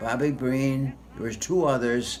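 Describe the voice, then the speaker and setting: A man speaks with ordinary pitch variation while music plays in the background. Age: 80s+. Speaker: war veteran. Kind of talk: interview answer.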